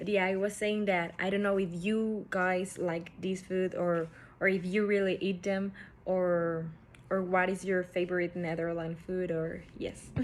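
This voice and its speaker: Speaking with a Spanish accent, a woman of medium pitch keeps a monotone, flat intonation. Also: fairly slow pace. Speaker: student presenter. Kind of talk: class presentation. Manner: halting.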